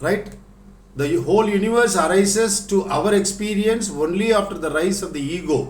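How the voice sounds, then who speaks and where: In a Tamil accent, a man with a high pitch speaks at a moderate pace amid audible room echo. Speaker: spiritual teacher. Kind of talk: lecture.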